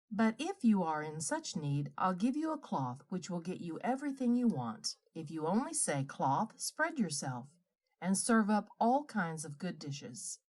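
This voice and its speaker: In a gruff, put-on character voice, a female-sounding speaker talks at a moderate pace with a middle pitch and very wide pitch swings. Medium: read story.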